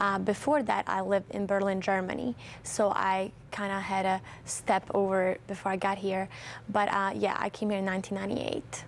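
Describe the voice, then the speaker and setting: This woman talks at a fairly quick pace in a medium-pitched voice. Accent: Bosnian. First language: Bosnian. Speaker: event organizer. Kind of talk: TV interview.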